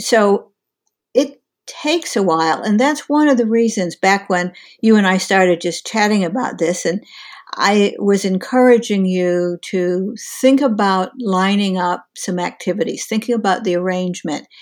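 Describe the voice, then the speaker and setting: A woman with an ordinary speaking voice talks at a moderate pace and medium pitch, with ordinary pitch variation. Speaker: career coach. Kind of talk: casual interview conversation.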